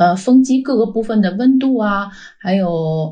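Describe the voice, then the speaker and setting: A woman's somewhat breathy voice in a Beijing accent, dark and mellow in tone, at a very slow pace with ordinary pitch variation and audible room echo. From China, Beijing. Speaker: wind energy data scientist. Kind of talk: interview.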